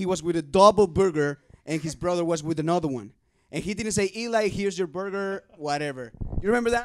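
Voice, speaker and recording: A man talks at a very fast pace with a Spanish accent. His pitch is high, with ordinary variation. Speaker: youth podcast host. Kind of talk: casual chat.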